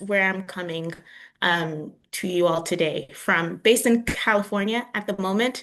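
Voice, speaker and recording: A woman's bright, sharp tone in a New York accent. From New York, the Bronx (Dominican heritage). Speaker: communications specialist, workshop presenter. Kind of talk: virtual workshop presentation.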